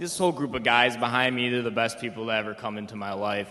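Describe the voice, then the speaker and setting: Someone speaks with an American accent while music plays in the background. The room echo is audible. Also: man. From Michigan (Detroit metro, east side). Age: 20s. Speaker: rehab program resident. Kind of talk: testimony. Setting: stage with audience.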